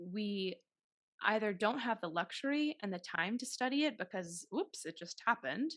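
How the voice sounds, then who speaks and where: Someone with an American accent talks at a moderate pace, the pitch swinging very widely. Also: woman, fairly high pitch for a woman. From Massachusetts, Taunton south of Boston. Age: 30s. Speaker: actress and podcast host. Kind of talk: interview.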